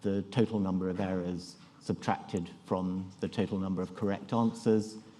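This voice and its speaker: A man with a British accent speaks at a fairly low pitch in a dark, mellow tone. His delivery is fairly slow and monotone, with flat intonation. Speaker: neurology professor giving a conference talk; conference presenter. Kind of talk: conference lecture. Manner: halting, many fillers and restarts. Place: hall.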